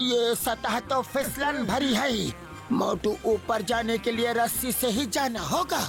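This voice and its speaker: A cartoonish character voice speaks at a fairly high pitch and a fairly slow pace. Clear music plays in the background. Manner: calm, instructive.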